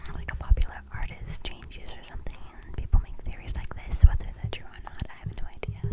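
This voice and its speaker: Whispering at a very fast pace over noticeable background noise. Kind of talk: ASMR whisper ramble. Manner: casual, rambling.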